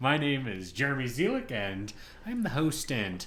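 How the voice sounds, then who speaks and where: A man with very wide pitch swings at a moderate pace, music in the background. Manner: host-style, fluid accent changes.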